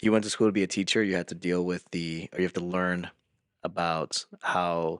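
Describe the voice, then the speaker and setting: A man with a slight Spanish accent speaks at a very deep, low pitch in a monotone, flat intonation. His pace is moderate and the background is quiet. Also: dry, close sound with no echo. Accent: slight Spanish accent on some words. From Peru, raised in US from age 11. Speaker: podcast co-host and youth pastor. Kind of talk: casual chat.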